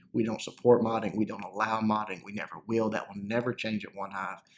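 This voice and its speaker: With a Southern US accent, a man speaks at a fairly low pitch. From US South, North Central Arkansas. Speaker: gaming YouTuber. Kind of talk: casual Q&A commentary. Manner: halting, many fillers.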